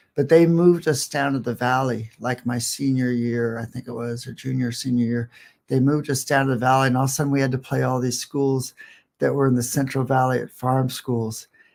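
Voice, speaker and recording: Speaking at a fairly quick pace, a man with a Californian accent keeps a medium pitch and a monotone, flat intonation. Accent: Californian American. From Northern California, Sierra Nevada small town. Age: 60s. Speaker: comedian. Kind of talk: casual chat.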